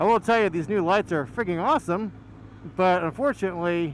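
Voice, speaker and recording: At a very fast pace, a man gets his words out. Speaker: motovlogger. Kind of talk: casual monologue while riding. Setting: on a motorcycle, helmet mic. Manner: loud; halting, many fillers.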